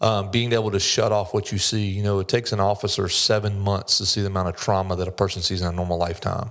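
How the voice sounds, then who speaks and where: A man with a fairly low pitch speaks at a very fast pace in a monotone, flat intonation, with hardly any pauses. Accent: Southern US. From US South, North Carolina. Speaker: commercial loan officer, former police officer. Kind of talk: podcast interview.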